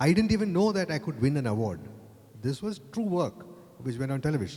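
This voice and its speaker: A man's voice sits fairly high and swings very widely in pitch. It sounds somewhat breathy. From Kerala, India. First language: Malayalam. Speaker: advertising creative director. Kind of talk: panel discussion. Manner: halting, repeats words.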